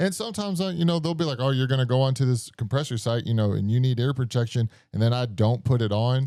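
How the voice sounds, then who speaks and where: A man at medium pitch talking very fast with hardly any pauses, lively intonation, very even loudness and a dark, mellow tone, on a very clean recording with a silent background. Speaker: podcast host. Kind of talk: casual chat. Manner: mumbling; quiet, lowered voice.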